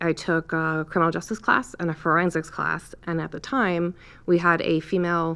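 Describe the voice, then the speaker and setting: Against a quiet background, a woman with a New York accent speaks at a moderate pace in a fairly low voice with a bright, sharp tone and fairly even intonation. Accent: New York area. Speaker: police lieutenant. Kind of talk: casual interview.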